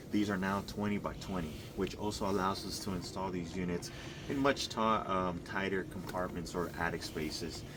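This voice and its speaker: Audible room echo surrounds a man's very deep, low voice as he speaks at a moderate pace with fairly even intonation. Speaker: HVAC contractor presenting installation video. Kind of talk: on-site tutorial walkthrough.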